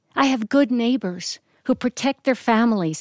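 A woman with an American accent has a normal speaking voice, fairly high in pitch with ordinary pitch variation, at a moderate pace. The recording is very clean with a silent background, and the sound is dry and close with no echo. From US Northeast (Reading, Pennsylvania). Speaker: storyteller and actress. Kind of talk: personal storytelling performance. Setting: live studio recording.

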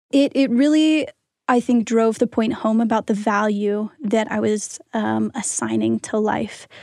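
A woman with a normal speaking voice, fairly high in pitch, talks with fairly even intonation in a dry, close sound with no echo. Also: fairly slow pace. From Pennsylvania, US. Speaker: student podcast team member. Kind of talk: reflective interview.

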